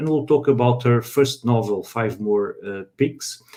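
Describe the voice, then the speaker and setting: Fairly slow delivery with a Portuguese accent. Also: man. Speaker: live stream host. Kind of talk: live panel interview. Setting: online live stream. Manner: halting.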